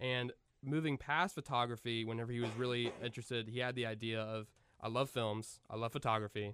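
In an ordinary speaking voice, the speaker moves at a fairly quick pace with fairly even intonation. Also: man, medium pitch for a man. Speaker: podcast host. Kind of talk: casual chat.

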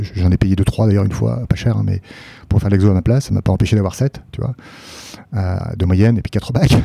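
A man with a fairly low pitch talks at a fairly quick pace, pitch varying in an ordinary way. Long pauses come often. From France, Paris region and Nancy. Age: 30s. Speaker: public investment bank executive. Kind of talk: casual interview.

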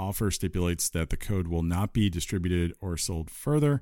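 A man talks at a fairly quick pace in a very deep, low voice with ordinary pitch variation. The recording is very clean, with a silent background. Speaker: gaming podcast co-host. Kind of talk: casual chat.

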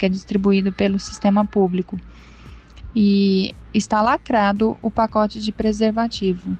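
A woman's somewhat breathy, dark, mellow voice at medium pitch, fairly slow, with fairly even intonation. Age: 30s. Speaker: listener asking for relationship advice. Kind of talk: recorded listener question. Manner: halting.

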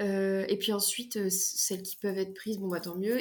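A woman talks at a very fast pace. Her medium-pitched voice stays monotone, with flat intonation. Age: 20s. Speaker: fantasy author. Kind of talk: casual interview. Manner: hesitant, many fillers.

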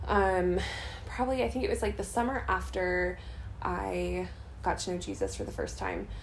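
With audible room echo, a woman in an American accent talks at a moderate pace. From US Midwest, St. Louis, Missouri. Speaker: missionary and nurse. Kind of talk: interview. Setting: apartment, recorded at night.

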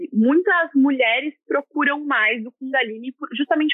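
The intonation is lively and the pace moderate. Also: woman. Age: 20s. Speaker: yoga teacher. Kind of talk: casual interview.

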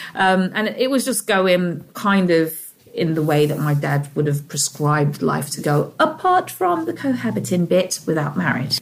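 In a London accent, a woman speaks at a moderate pace with hardly any pauses and lively intonation. Her pitch is fairly low, with noticeable background noise behind her. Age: 30s. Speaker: single mother. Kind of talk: interview.

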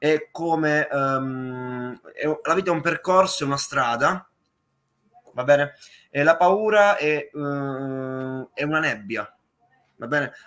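A man with a fairly high pitch talks at a very slow pace. He leaves long, frequent pauses. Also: ordinary pitch variation. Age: young. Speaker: musician. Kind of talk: interview. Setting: live stream.

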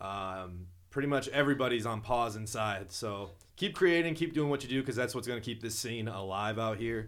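A medium-pitched man speaks at a fairly quick pace in an American accent. His pitch varies in an ordinary way, and there is audible room echo. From southwest Minnesota, small town. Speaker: rapper. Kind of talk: casual interview chat.

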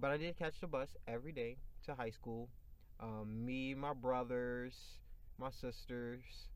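Medium-pitched male voice with fairly even intonation and a fairly slow pace. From Chicago. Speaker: podcast host. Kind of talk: casual chat.

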